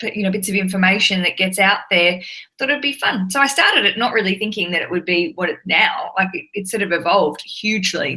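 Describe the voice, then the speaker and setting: A woman with an Australian accent talks at a very fast pace. Her pitch is medium, with ordinary pitch variation. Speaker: podcast host and television presenter. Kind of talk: interview. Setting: live video chat. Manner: chatty, animated.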